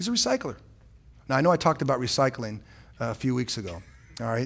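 A man speaks very fast in a somewhat breathy voice, his pitch swinging very widely. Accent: American. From San Francisco, California. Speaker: pastor. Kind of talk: sermon. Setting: church. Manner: animated.

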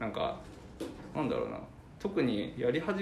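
At a moderate pace, the speech has lively intonation, with audible room echo and noticeable background noise. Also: man. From Fukuoka, Iizuka. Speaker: freelance web designer. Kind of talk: casual interview.

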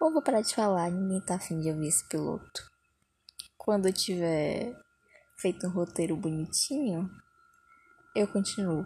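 Quiet and somewhat breathy, a woman with a medium pitch and dark, mellow tone speaks at a moderate pace with lively intonation and long, frequent pauses. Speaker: podcaster. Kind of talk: casual monologue. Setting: under a blanket at home. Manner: speaking quietly.

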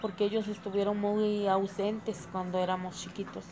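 Her voice is at a medium pitch for a woman, and she keeps a moderate pace. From Tulcingo de Valle, Puebla, Mexico. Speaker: homemaker interviewee. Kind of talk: interview answers.

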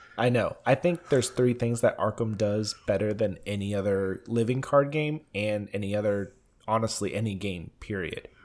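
A man's unremarkable speaking voice, fairly low in pitch, at a moderate pace with hardly any pauses. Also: ordinary pitch variation. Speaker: podcast co-host. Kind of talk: casual chat.

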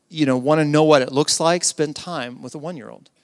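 A man with an American accent speaks at a fairly quick pace in a normal speaking voice, his pitch fairly high. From US South. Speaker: pastor. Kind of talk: sermon.

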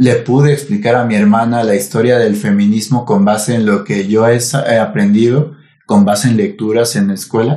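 In a Mexican accent, a man speaks with medium pitch and a dark, mellow tone. He barely pauses, and his loudness stays very even. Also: ordinary pitch variation, moderate pace. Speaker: podcast co-host. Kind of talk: casual chat.

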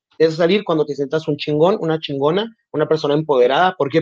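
Speaking at a very fast pace, this man has a fairly high pitch. His pitch varies in an ordinary way. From Mexico, Nogales, Sonora. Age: 20s. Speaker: communications graduate, LGBTQ+ community member. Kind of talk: casual interview.

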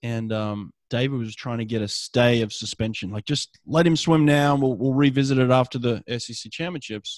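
A man with a plain, everyday voice speaks at medium pitch with ordinary pitch variation and hardly any pauses. His loudness swings widely, and the sound is dry and close with no echo. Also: fairly quick pace. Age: 40s. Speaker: podcast host, swim coach and former swimmer. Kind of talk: casual interview.

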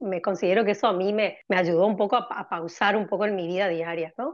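An ordinary speaking voice from a woman at medium pitch, fairly quick in pace, with fairly even intonation. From Argentina, Corrientes. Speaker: cardiologist. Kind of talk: interview.

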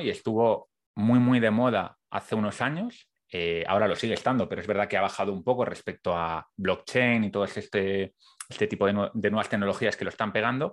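An ordinary speaking voice from a man at medium pitch, fairly quick pace and ordinary pitch variation, over a quiet background. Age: 30s. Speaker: podcast host. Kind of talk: interview conversation.

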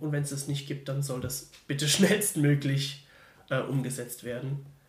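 Amid audible room echo, a man talks at a fairly slow pace in a somewhat breathy, fairly high voice with fairly even intonation. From Germany, Mannheim. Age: 20s. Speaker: theology student. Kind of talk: casual interview. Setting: in person recording.

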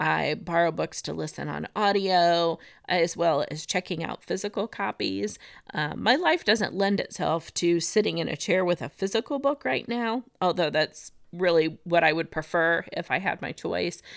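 With an American accent, a woman speaks at a moderate pace and fairly low pitch with vocal fry and ordinary pitch variation, in a very clean recording with a silent background and a dry, close sound with no echo. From US Midwest, northwest Indiana. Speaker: elementary school office worker. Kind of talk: casual chat. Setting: recorded in a room together with host. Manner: hesitant, frequent fillers.

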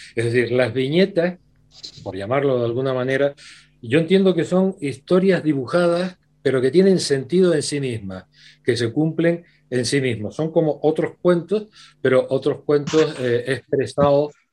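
A man speaks at a fairly slow pace in a dark, mellow tone. His pitch is fairly high, with ordinary variation. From Canary Islands, Tenerife. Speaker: writer. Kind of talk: book presentation discussion. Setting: video call.

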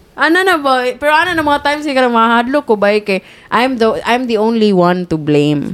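With very wide pitch swings, the voice moves at a moderate pace while keeping a very even loudness. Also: woman, high pitch for a woman. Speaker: podcast co-host. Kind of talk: casual chat.

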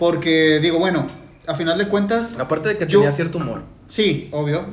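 The man's high-pitched voice carries audible echo from the room. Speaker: podcast co-host and musician. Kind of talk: casual chat.

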